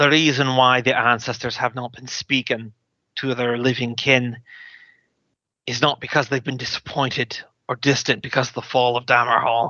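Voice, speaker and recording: A man does a put-on character voice, soft-spoken and raspy, with a medium pitch. He talks at a moderate pace with monotone, flat intonation. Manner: sullen, downcast.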